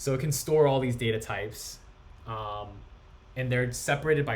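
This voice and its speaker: Audible room echo hangs around this man's voice. His pace is moderate, and his pitch varies in an ordinary way. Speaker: coding instructor. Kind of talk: lecture.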